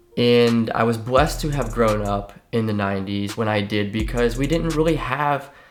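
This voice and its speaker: Over music in the background and audible room echo, a man with an American accent talks at a moderate pace. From Ohio, US Midwest (Ohio River valley near West Virginia). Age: 30s. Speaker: fitness coach. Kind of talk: personal life story monologue. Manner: casual, many fillers and repetitions.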